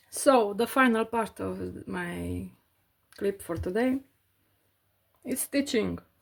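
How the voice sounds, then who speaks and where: A woman talks very slowly, with long pauses that come often. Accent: non-native. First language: not English. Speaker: cross-stitch crafter vlogger. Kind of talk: casual tutorial while stitching. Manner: halting, many fillers.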